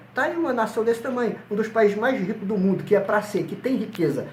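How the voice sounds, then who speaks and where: A man's high-pitched voice, with audible room echo and noticeable background noise. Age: 60s. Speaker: pastor. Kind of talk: interview.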